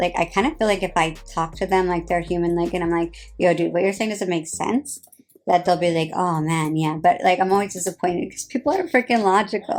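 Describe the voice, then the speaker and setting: A woman talks with a New Jersey accent. Her pace is very fast. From New Jersey, US. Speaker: reality TV personality. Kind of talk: casual chat. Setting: livestream. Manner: animated.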